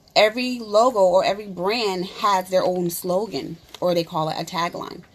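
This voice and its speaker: At a moderate pace, a woman talks in a medium-pitched voice. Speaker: beauty consultant and makeup artist. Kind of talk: live stream workshop. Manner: hesitant, many fillers.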